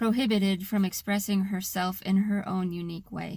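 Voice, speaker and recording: Somewhat breathy, with an American accent, the speaker talks at a fairly slow pace with fairly even intonation. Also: woman. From US Pacific Northwest, Seattle area. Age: 30s. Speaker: vlogger. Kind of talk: personal vlog monologue. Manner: unusual tone and cadence; halting.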